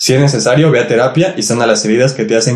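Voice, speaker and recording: With a Mexican accent, a man talks at a fairly quick pace and ordinary pitch variation. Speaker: podcast co-host. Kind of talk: casual chat.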